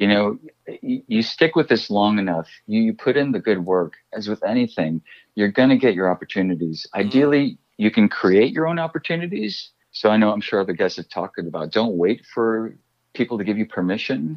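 Speaking at a fairly quick pace, a man with an American accent has a fairly low pitch, lively intonation and an unremarkable speaking voice. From US Midwest, Chicago. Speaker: actor. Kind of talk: interview storytelling.

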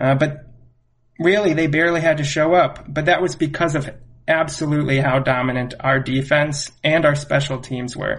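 With a normal speaking voice, a man talks at a middling speed in a fairly high register, his pitch varying in an ordinary way. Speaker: guest co-host, friend of host. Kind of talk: casual sports chat.

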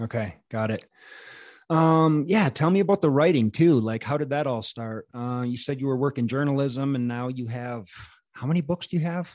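Against a quiet background, a man uses a normal speaking voice at a moderate pace and a fairly high pitch. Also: ordinary pitch variation. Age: 40s. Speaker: podcast host. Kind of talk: casual interview chat.

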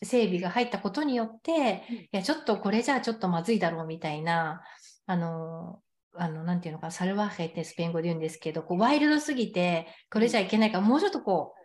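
A woman's somewhat breathy voice at medium pitch, very fast and lively in intonation, over a quiet background. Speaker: sex coach. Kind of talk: casual chat.

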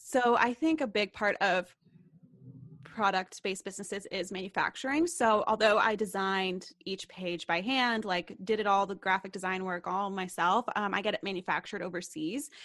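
A woman's unremarkable speaking voice with an American accent, medium pitch and ordinary pitch variation, at a moderate pace over a quiet background. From US South, Knoxville, Tennessee. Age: 20s. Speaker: YouTuber and entrepreneur. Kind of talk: casual interview.

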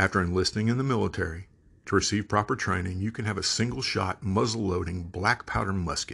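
Speaking at a fairly quick pace with a normal speaking voice, a man with an American accent uses a fairly low pitch and ordinary pitch variation against a quiet background. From Texas. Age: 50s. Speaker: podcast host. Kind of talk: monologue commentary.

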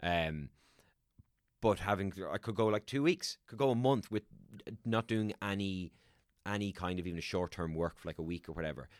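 A man with an Irish accent at a fairly low pitch, fairly quick yet with long, frequent pauses and ordinary pitch variation, in a very clean, dry, close recording with no echo and a silent background. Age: 30s. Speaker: actor and voiceover artist. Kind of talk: casual chat.

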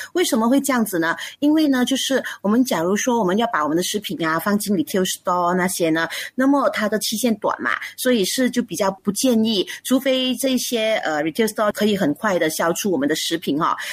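Somewhat breathy and fairly high, this woman's voice swings very widely in pitch while keeping a very even loudness at a fairly quick pace. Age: 40s. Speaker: food business founder. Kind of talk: radio interview.

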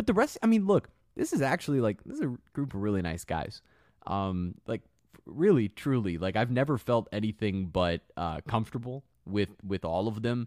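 Recorded very cleanly with a silent background and a dry, close sound with no echo, a man with a normal speaking voice talks at a medium pitch and a moderate pace with lively intonation. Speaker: sideline reporter and sports media host. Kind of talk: casual sports podcast interview.

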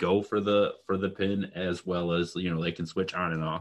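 Over a quiet background, a man with a very deep, low voice speaks at a moderate pace with fairly even intonation. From Michigan. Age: 20s. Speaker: podcast co-host. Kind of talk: casual chat.

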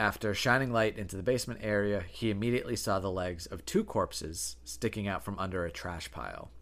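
A playful tone with vocal fry, very wide pitch swings and hardly any pauses. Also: man, fairly low pitch for a man, fairly quick pace. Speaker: podcast co-host. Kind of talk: casual chat, true crime storytelling. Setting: living room recording, at home. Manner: playful, banter.

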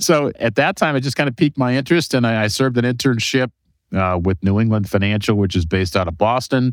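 Very fast, lively speech from a man with an American accent, medium in pitch, in a dry, close sound with no echo. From Cleveland, Ohio, US. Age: 50s. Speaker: exit planning advisor. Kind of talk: interview. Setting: remote call. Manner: conversational.

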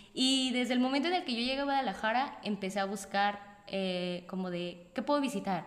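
Over noticeable background noise and audible room echo, a woman talks fairly quickly in a medium pitch with lively intonation and hardly any pauses. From Mexico, Morelia. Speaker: solo traveler. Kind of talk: casual interview. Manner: animated.

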